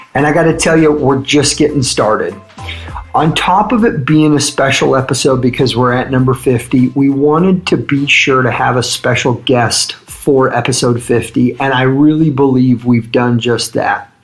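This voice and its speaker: A man with a medium pitch speaks in an upbeat tone at a moderate pace, with ordinary pitch variation. His loudness stays very even despite noticeable background noise. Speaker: podcast host. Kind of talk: podcast intro.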